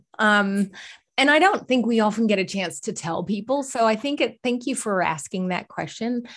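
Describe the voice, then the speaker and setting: A woman speaks at a moderate pace in a fairly high, somewhat breathy voice with lively intonation against a quiet background. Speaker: holistic coach and healing practitioner. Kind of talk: casual interview chat.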